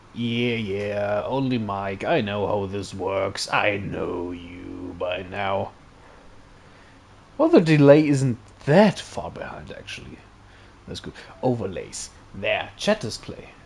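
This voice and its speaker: A man talks at a very slow pace, with long, frequent pauses and big swings in loudness. His pitch is fairly low, with ordinary variation, over noticeable background noise. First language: German. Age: 20s. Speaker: streamer. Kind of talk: casual live stream commentary. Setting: live stream.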